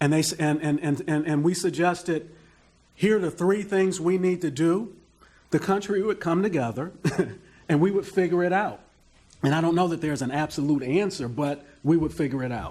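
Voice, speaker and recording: A man with a high voice at a moderate pace and ordinary pitch variation, on a very clean recording with a silent background. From US Midwest, Detroit. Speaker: panelist. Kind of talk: panel discussion.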